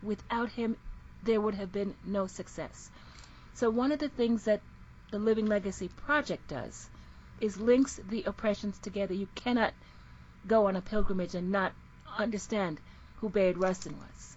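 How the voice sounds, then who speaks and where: A woman speaks in a somewhat breathy voice with long, frequent pauses. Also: medium pitch for a woman, ordinary pitch variation, moderate pace. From Jamaica. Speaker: minister. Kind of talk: casual interview chat.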